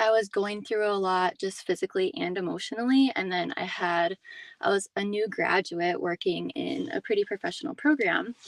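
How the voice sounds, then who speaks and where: A woman with an unremarkable speaking voice and a medium pitch talks at a moderate pace with lively intonation, the sound dry and close with no echo. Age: 20s. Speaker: physical therapist. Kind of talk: testimony.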